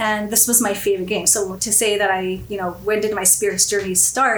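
Over noticeable background noise and audible room echo, a woman with a Canadian accent speaks fairly quickly at a medium pitch in a monotone, flat intonation. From Canada, Winnipeg. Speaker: whisky enthusiast. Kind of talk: casual chat. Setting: studio.

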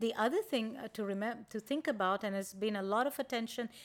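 This woman has an ordinary speaking voice with fairly high pitch and ordinary pitch variation. She talks at a fairly quick pace on a very clean recording with a silent background. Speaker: physician, sleep specialist. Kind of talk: interview. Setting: studio. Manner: warm, friendly.

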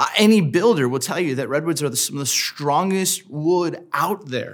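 A man with an American accent and ordinary pitch variation, in a very clean recording with a silent background. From Southern California. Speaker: pastor. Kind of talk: sermon. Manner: casual, conversational with many fillers.

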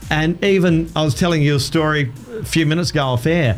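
At a fairly quick pace, a man with an Australian accent speaks with ordinary pitch variation. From Adelaide, South Australia. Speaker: radio presenter and former karaoke business owner. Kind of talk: casual chat. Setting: studio.

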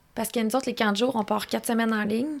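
A woman's very fast, fairly high-pitched speech with fairly even intonation. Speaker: motocross track co-owner and coach. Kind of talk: casual chat. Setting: studio.

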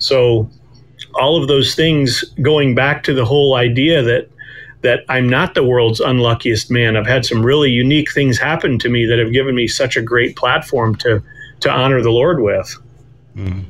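In a plain, everyday voice, a man speaks at medium pitch and a moderate pace, with ordinary pitch variation and very even loudness. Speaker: author and guest. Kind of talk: interview conversation, faith testimony.

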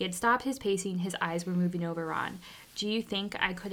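Natural reading voice, pitch varying in an ordinary way.

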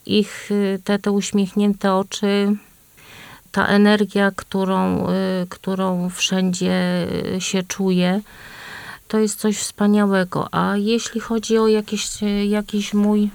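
At a very slow pace, a woman talks at medium pitch with long, frequent pauses. Her intonation is monotone and flat, and her loudness very even. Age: old. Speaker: grandmother, association member. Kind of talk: casual radio chat. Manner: halting.

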